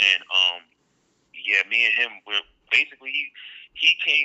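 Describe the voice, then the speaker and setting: This is a man speaking. His pace is moderate. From Brooklyn, New York. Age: young. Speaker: choreographer and dancer. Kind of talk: casual interview chat.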